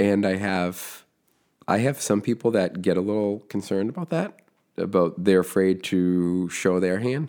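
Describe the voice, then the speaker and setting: This man has an American accent and a dark, mellow tone at a fairly low pitch. He keeps a moderate pace with ordinary pitch variation, in a very clean recording with a silent background. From Massachusetts (Foxborough, near Boston). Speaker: construction business owner and podcaster. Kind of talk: podcast interview.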